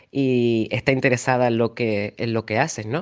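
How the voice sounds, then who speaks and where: A man talks at a very slow pace. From Canary Islands, Tenerife. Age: 30s. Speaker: journalist. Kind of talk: interview. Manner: halting, with repetitions and fillers.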